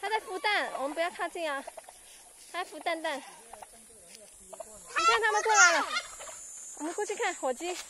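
At a fairly slow pace with long, frequent pauses, the voice sounds dry with no echo against loud background noise. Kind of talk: casual talk to young children. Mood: warm, encouraging. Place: farm. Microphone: phone near.

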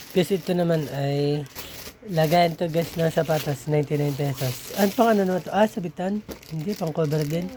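A man talks at a moderate pace with a fairly high pitch. His pitch variation is ordinary, and background noise is noticeable. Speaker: vlogger. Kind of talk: unboxing video. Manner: casual, conversational.

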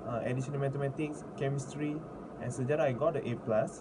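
Noticeable background noise fills the clip. Through it, a man is talking. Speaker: university student tutor. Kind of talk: self-introduction. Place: home room. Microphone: phone near.

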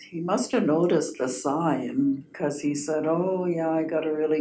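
Against light background noise and audible room echo, a woman speaks at a very deep, low pitch in a dark, mellow tone, with fairly even intonation at a fairly slow pace. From Okanagan, British Columbia, Canada; British Columbia, Canada. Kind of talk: storytelling interview. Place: meeting room. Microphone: camera far.

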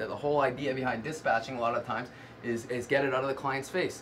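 A man speaks in a plain, everyday voice at a medium pitch. He goes at a fairly quick pace with fairly even intonation. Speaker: courier dispatcher. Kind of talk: interview about courier dispatch work.

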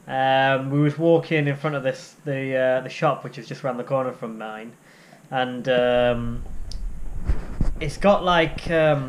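The man's intonation stays fairly even throughout. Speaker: guide dog trainee vlogger. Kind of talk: casual vlog chat. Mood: frustrated, reflective. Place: home room. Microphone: phone near.

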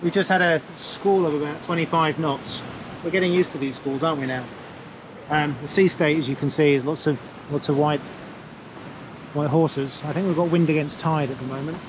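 A man speaks at a fairly quick pace with fairly even intonation, in a dry sound with no echo and noticeable background noise. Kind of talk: casual vlog chat. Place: boat. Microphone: phone near.

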